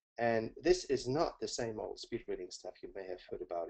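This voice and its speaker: Speaking at a fairly quick pace, a man talks with a German accent. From Germany, Hamburg. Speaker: learning coach. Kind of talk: webinar presentation. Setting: webinar.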